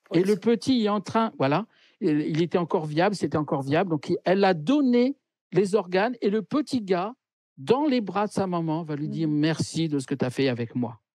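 A man's high-pitched voice with very wide pitch swings at a moderate pace, dry with no echo, over a quiet background. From France. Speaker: medium; interviewee. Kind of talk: interview. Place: home room. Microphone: video call.

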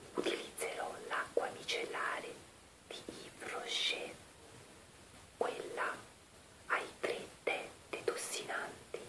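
A woman whispers at a very slow pace, taking long, frequent pauses. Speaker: beauty vlogger. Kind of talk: ASMR-style whispered makeup removal video. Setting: home recording with basic equipment. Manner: whispered, soft-spoken. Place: bathroom. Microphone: webcam.

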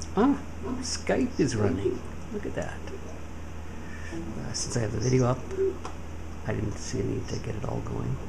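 Speech at a moderate pace with long, frequent pauses over noticeable background noise. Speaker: home-office trader, PC builder. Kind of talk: casual talk to camera, tech demo. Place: office.

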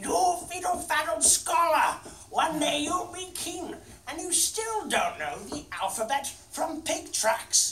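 Bellowing in a put-on character voice at an extremely high pitch and fairly slow pace, the speaker comes through with slight echo and clear background noise. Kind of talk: dramatic interpretation performance. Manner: bellowing, scolding.

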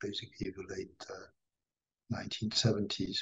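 A somewhat breathy voice at a fairly slow pace. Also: man. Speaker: guest. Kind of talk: interview answer. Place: home room. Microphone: earbuds.

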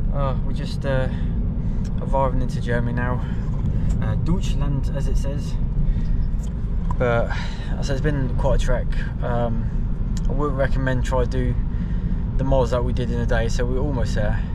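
A man speaks at a moderate pace with long, frequent pauses. The sound is dry with no echo, but loud background noise is present. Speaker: travel vlogger. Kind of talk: casual vlog chat. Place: car. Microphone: phone near.

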